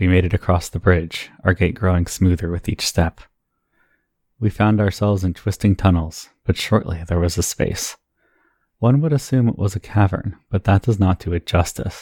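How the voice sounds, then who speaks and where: A man talks at a moderate pace with a very deep, low pitch and a dark, mellow tone. The sound is dry and close, without echo. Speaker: tabletop RPG podcast host and editor. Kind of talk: scripted narration of a creation myth, then podcast outro.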